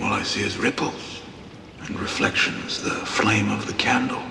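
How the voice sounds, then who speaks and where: A man does a put-on character voice at a moderate pace, with a clear echo and clear background noise. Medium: short film. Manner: soft-spoken, earnest.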